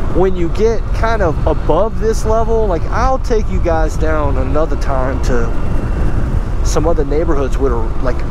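There is noticeable background noise as a man talks in a dry sound with no echo. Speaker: scooter rider vlogger. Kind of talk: casual vlog chat. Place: motorbike. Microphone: helmet.

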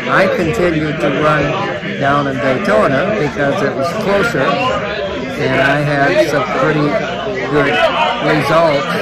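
Amid crowd noise in the background, a man talks at a very slow pace with ordinary pitch variation. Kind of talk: interview answer. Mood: calm, nostalgic. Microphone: phone near.

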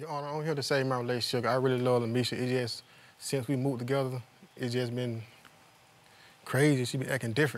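A man speaks at a very fast pace in a monotone, flat intonation, yet with long, frequent pauses. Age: young. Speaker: litigant in a TV court case. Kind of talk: courtroom testimony. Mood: aggrieved, defensive. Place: studio. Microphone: lapel.

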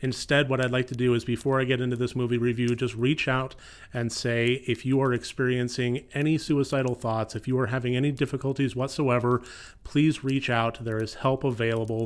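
With monotone, flat intonation, a man speaks. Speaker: horror film reviewer. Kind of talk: film review. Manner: somber, serious tone. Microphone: studio mic.

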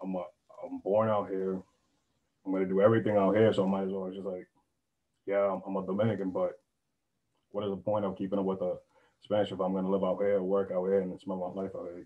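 A man's very deep, low voice at a very fast pace, broken by long, frequent pauses. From Brockton, Massachusetts; Massachusetts. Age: 20s. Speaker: university student; panelist. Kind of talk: panel discussion. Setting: video call. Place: home room. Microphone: video call.

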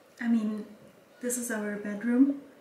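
A woman's voice has a dark, mellow tone and little pitch movement. Strong room echo surrounds it.

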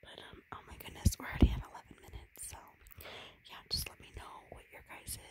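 Soft-spoken whispering at a fairly quick pace, dry with no echo, over noticeable background noise. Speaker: video creator. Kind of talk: whispered casual vlog chat. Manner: soft whispered chatting.

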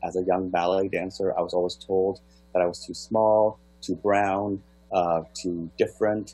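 A man's very deep, low-pitched voice with a dark, mellow tone, fairly even intonation and a moderate pace. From Toronto, Canada (born in Kenya). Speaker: artist and choreographer. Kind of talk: artist presentation.

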